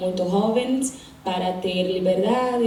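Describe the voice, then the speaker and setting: A woman's medium-pitched voice with a non-native accent, fairly even intonation and a fairly slow pace, amid noticeable background noise and audible room echo. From Brazil. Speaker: audience member. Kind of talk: audience question at panel. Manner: halting.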